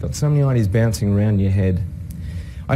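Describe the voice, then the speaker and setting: In an Australian accent, a man with a fairly low pitch speaks with lively intonation, with audible room echo and noticeable background noise. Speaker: innovation professor and consultant. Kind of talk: talk to an audience.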